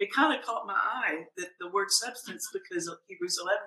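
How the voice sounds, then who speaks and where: A woman is speaking. Her pace is moderate. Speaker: pastor and podcast host. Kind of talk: interview about faith.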